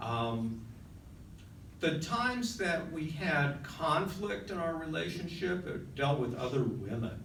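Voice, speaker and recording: In a room with audible echo and noticeable background noise, a man with a fairly high voice speaks very slowly, his pitch swinging very widely. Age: 60s. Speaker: journalist. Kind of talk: personal storytelling. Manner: halting, many fillers.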